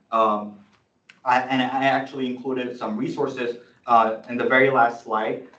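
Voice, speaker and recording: At a moderate pace, a man speaks at medium pitch, with audible room echo. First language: not English (English is third language). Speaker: student senator. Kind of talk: presentation at student meeting. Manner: halting, many fillers and restarts.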